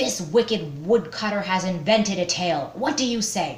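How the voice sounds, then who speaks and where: A woman puts on a character voice at medium pitch with lively intonation. She keeps a moderate pace over light background noise. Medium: read story. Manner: stern, authoritative.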